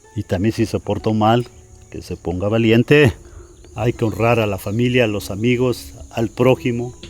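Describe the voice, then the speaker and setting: With music in the background, a man with a Mexican accent speaks fairly slowly at medium pitch, with ordinary pitch variation. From Mexico. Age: 60s. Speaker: bricklayer. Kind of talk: interview. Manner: halting, repeats words.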